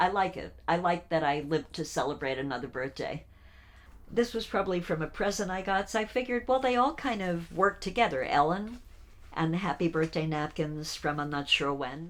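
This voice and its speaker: Using a plain, everyday voice, a woman talks at a fairly quick pace with lively intonation and fairly low pitch. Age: 60s. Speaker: documentary subject. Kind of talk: casual chat. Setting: at home.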